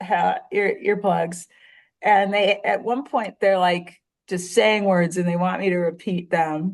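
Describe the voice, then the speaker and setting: A woman with a strong Chicago accent at a fairly slow pace, over a quiet background. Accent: thick Chicago. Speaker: writer and surfer. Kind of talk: casual chat.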